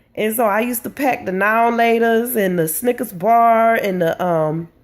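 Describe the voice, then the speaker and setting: An ordinary speaking voice from a woman, fairly high-pitched with ordinary pitch variation, at a fairly slow pace. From Hartford, Connecticut, US. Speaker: entrepreneur, business coach. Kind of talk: personal storytelling vlog. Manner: casual, with fillers and repetitions.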